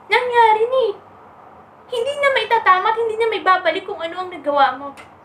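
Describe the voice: Her pitch is extremely high, with ordinary variation and a fairly bright tone as this woman talks at a fairly quick pace. Audible room echo surrounds her voice.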